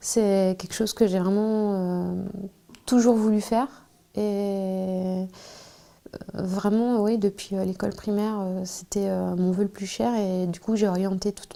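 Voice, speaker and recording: A woman's medium-pitched, dark and mellow voice, monotone and flat, at a fairly slow pace. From France, Charente. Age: 30s. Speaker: archaeologist and trade unionist. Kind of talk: interview. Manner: hesitant, many filler sounds.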